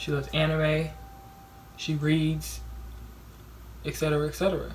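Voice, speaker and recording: Music plays in the background and a room echo is audible as a woman talks at a moderate pace. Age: young. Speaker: vlogger. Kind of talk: casual vlog monologue. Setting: dorm room. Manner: loud.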